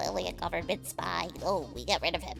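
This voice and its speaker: Over clear background music, a put-on character voice moves at a fairly quick pace. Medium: game stream. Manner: earnest, paranoid.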